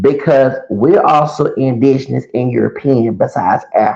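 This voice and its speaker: This man has a Southern US accent. He talks at a moderate pace. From US Gulf Coast. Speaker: YouTuber and podcaster. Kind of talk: commentary monologue. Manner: halting, with fillers.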